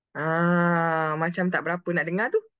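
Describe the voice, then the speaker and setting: The tone is bright and sharp, with a dry sound that has no echo and a quiet background. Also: woman. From Malaysia. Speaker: online meeting host. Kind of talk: casual chat. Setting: video call. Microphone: video call.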